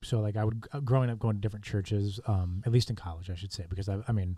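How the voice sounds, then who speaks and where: Speaking at a very fast pace, a man with a fairly low pitch sounds somewhat breathy with a dark, mellow tone and ordinary pitch variation, on a very clean recording with a silent background. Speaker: young adults pastor. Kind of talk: podcast interview.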